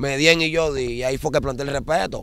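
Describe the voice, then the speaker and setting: The intonation stays fairly even. The sound is dry, with no echo. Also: man. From Dominican Republic, Santo Domingo (La Ciénaga, Guachupita); Dominican Republic. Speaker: former street gang member turned dembow singer; interviewee. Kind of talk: interview. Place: waterside. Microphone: handheld.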